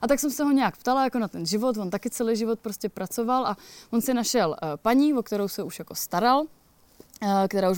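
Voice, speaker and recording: A woman speaks in an ordinary speaking voice at a fairly quick pace, her pitch fairly high with ordinary variation. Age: 30s. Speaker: hiker and author. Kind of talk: casual interview. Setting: outdoors at a mountain cottage.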